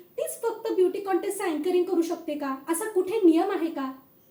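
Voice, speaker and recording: A woman speaks in a dark, mellow tone with lively intonation. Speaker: aspiring anchor / host auditioning. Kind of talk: anchor audition, energetic event hosting. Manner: earnest, personal, direct address to audience.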